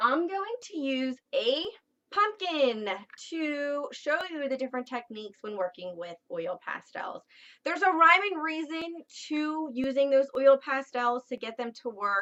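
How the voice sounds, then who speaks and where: An American accent carries very wide pitch swings. The pace is fairly slow. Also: woman. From southeastern Pennsylvania, Philadelphia suburbs. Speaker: art teacher. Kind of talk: tutorial. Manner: casual, with frequent fillers.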